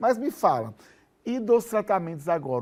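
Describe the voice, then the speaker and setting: Over a very clean recording with a silent background, a man speaks at a moderate pace with lively intonation in a plain, everyday voice. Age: 50s. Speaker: TV show host. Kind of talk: TV interview.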